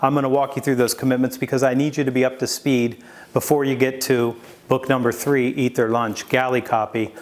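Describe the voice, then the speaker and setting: Speaking at a fairly quick pace, a man keeps his medium-pitched voice very even in loudness, with monotone, flat intonation. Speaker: sales author and speaker. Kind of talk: video presentation. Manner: fast.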